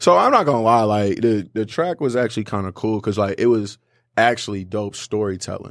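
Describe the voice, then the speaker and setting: A man with a fairly low voice is heard on a very clean recording with a silent background. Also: ordinary pitch variation, fairly quick pace. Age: 20s. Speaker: sports podcast host. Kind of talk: casual chat.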